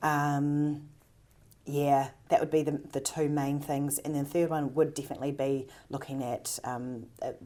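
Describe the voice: Her tone is dark and mellow, low in pitch for a woman. There is little pitch movement. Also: moderate pace.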